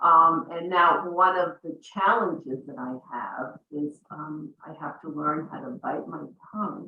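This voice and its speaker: A woman with a normal speaking voice talks at a fairly slow pace with hardly any pauses and a fairly low pitch. Her intonation is lively and her loudness swings widely. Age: 60s. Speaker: real estate broker. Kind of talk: panel discussion.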